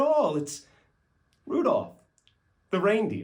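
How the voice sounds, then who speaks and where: The pitch makes very wide swings. The pace is fairly slow. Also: man. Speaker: actor. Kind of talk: poetry reading. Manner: storytelling, expressive.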